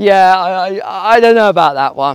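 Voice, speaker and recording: The voice is loud and animated, with lively intonation and a dry, close sound with no echo. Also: man. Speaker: YouTube commentator and course seller. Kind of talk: news commentary vlog, walking and talking. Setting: outdoors, walking, busy street. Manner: animated, conversational.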